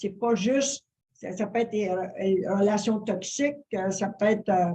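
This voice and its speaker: Her tone dark and mellow, a woman speaks at a fairly slow pace in a medium pitch with fairly even intonation. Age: 70s. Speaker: interview guest, wellness influencer. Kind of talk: interview. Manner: halting, many fillers.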